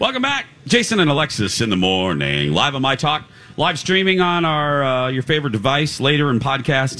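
Over noticeable background noise, a man talks at a moderate pace and fairly high pitch with lively intonation, very even loudness and hardly any pauses. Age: 40s. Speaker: radio host. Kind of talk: casual chat. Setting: live broadcast from a state fair booth.

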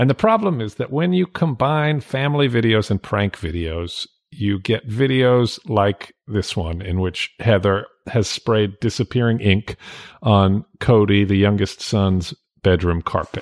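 With an ordinary speaking voice, a man talks at a fairly slow pace in a fairly low pitch with lively intonation, the sound dry and close with no echo in a very clean recording with a silent background. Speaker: podcast host, editor. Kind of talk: casual chat. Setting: home recording in dining room, alone.

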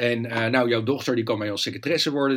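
A man talks at a medium pitch. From Netherlands, Leiden. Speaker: journalist and author. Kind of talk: interview conversation. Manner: hesitant, frequent repetitions.

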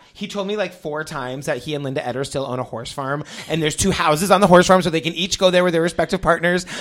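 A man's fairly high, animated voice at a very fast pace, with ordinary pitch variation and noticeable background noise. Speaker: podcast host. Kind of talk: scripted ad read; casual interview.

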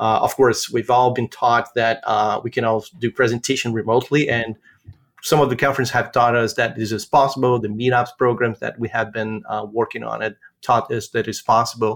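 A man talks at a fairly quick pace. His medium-pitched voice stays monotone and flat. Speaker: developer advocate. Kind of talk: casual chat.

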